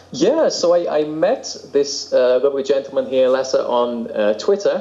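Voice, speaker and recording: Moderately paced male speech with noticeable background noise. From England. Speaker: composer and podcaster. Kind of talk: casual chat. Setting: video call.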